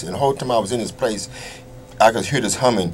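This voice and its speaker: A medium-pitched male voice with an American accent and noticeable background noise. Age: 60s. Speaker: former prisoner. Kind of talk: interview.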